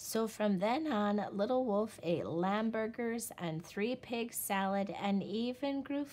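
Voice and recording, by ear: Pitch varies by an ordinary amount while the text is read aloud in a natural voice.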